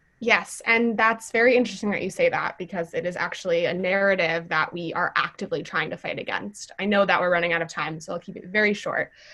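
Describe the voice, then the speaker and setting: Over noticeable background noise, a woman with an American accent talks at a very fast pace and a medium pitch, with hardly any pauses and ordinary pitch variation. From US Midwest, Wisconsin. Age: 20s. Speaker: youth climate activist. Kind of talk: panel conversation.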